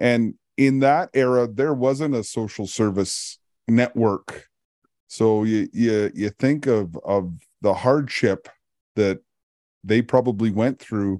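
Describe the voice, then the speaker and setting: In a Canadian accent, the speaker goes at a very slow pace with a dark, mellow tone and ordinary pitch variation, in a dry, close sound with no echo. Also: man, medium pitch for a man. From Canada, Alberta. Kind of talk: casual chat. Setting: video call.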